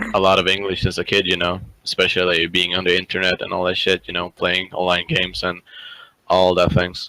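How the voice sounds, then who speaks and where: Monotone and flat, a man with a very deep, low pitch and a slight Swedish accent speaks in a bright, sharp tone at a fairly quick pace, in a dry, close sound with no echo. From northern Sweden. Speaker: programming student. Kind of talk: casual interview chat.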